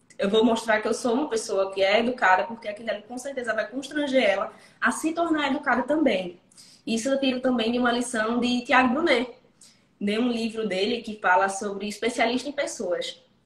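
At a fairly quick pace, a woman with an ordinary speaking voice speaks at a fairly high pitch with ordinary pitch variation. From interior of Pernambuco, Brazil. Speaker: lawyer. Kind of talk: casual interview.

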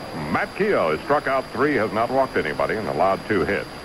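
Fairly quick speech from a man at medium pitch, with very wide pitch swings and noticeable background noise. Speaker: radio color commentator and co-announcer. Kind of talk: live baseball commentary, analysis between pitches. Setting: radio broadcast from ballpark.

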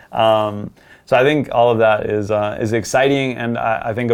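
A man is speaking. His pace is fairly quick. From US, born in Colombia. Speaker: former pro footballer, marketing content creator. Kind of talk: casual interview.

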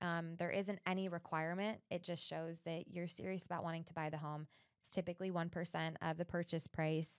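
A woman with a normal speaking voice talks at a fairly quick pace and a fairly low pitch. The recording is very clean with a silent background, dry and close with no echo. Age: 30s. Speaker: realtor and podcast host. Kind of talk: casual interview chat.

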